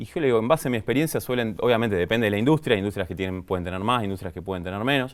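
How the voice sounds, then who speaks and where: Medium in pitch, a man's voice moves with ordinary variation. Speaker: business sciences graduate, finance expert guest. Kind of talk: podcast interview answer.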